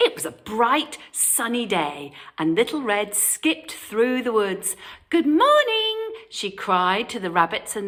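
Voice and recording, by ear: The text is read aloud naturally. That natural reading carries on to the end.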